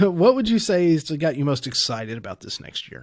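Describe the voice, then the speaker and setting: In a Kentucky accent, a man with a fairly high pitch speaks through very wide pitch swings. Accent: Southern Kentucky. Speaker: podcast co-host. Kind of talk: casual chat.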